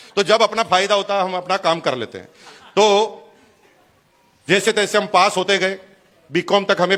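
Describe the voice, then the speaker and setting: A man speaks in a raised, projected voice at a high pitch, his tone animated. Noticeable background noise runs behind him. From Rajasthan, India (Bhilwara). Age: 50s. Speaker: businessman, motivational speaker. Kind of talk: motivational speech.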